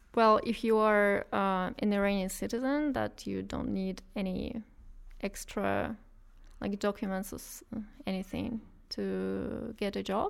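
In a very clean recording with a silent background, a woman with a Russian accent speaks at a very slow pace. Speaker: expat travel blogger. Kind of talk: casual chat.

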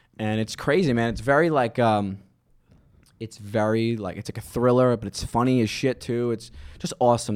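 With a New York accent, a man speaks at a medium pitch and moderate pace with ordinary pitch variation, in a very clean recording over a silent background. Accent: New York, Staten Island. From Staten Island, New York. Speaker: actor and comedian. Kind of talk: casual chat, podcast interview. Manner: animated, profane.

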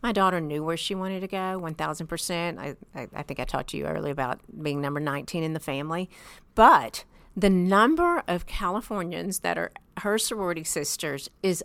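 Bright, sharp and animated, the voice has lively intonation in a very clean recording with a silent background. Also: woman. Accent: American. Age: 50s. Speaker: chef and podcast host. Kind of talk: casual chat.

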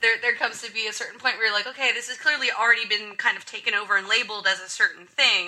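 Talking at a very fast pace with hardly any pauses, a woman uses a fairly high pitch and fairly even intonation. Her loudness swings widely, and there is noticeable background noise. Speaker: YouTuber. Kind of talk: casual panel discussion.

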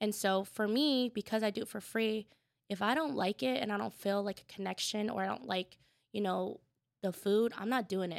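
A woman with an unremarkable speaking voice talks at a moderate pace and medium pitch. The recording is very clean, with a silent background. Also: ordinary pitch variation. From Tacoma, Washington, US. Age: 30s. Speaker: food content creator and storyteller. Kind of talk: interview.

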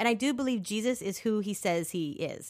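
A woman with an ordinary speaking voice talks at a fairly quick pace, her intonation lively. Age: 40s. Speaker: nonprofit founder and producer. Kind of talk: casual interview.

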